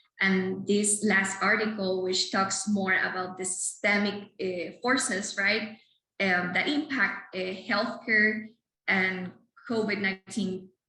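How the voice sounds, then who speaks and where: A woman with a Spanish accent speaks at a very slow pace and medium pitch with fairly even intonation. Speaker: clinical psychologist. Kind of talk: lecture. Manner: halting.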